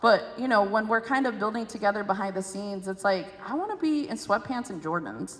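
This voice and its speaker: Over noticeable background noise, a woman with an American accent speaks at a fairly quick pace with hardly any pauses. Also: fairly high pitch for a woman, ordinary pitch variation. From Chicago, Southwest Side. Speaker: state senator moderating a panel. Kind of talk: panel discussion. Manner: casual, animated.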